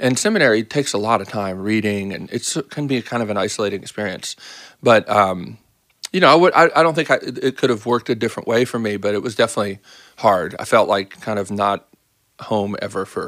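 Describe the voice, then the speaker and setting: Speaking at a fairly quick pace, a man with an American accent has a normal speaking voice, fairly low pitch and ordinary pitch variation. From US, Baltimore. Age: 50s. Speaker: pastor. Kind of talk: casual interview.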